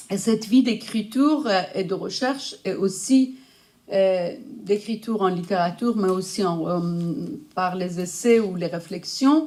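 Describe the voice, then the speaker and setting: Dark and mellow in tone, this voice moves at a fairly slow pace with ordinary pitch variation. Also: woman, medium pitch for a woman. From Iran. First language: Persian (speaking French). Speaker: writer and researcher, conference speaker. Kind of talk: lecture. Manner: halting.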